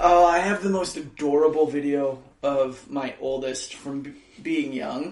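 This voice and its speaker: Over noticeable background noise and audible room echo, a man with a fairly high pitch talks at a fairly slow pace, his loudness swinging widely. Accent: American. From Minnesota. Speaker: podcast co-host. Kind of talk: casual chat. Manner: animated.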